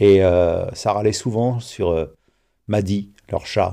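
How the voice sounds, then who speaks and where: Heard against a quiet background, a man has a dark, mellow tone and a fairly low pitch. His pitch varies in an ordinary way. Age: 50s. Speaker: interviewee, homeowner telling a neighbour story. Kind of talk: personal storytelling. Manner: halting, with repetitions and fillers.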